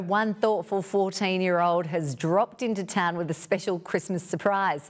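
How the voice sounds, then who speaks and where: A woman's unremarkable speaking voice, fairly low in pitch, at a moderate pace against a quiet background. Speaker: TV news presenter. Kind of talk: news reading. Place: studio. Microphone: lapel.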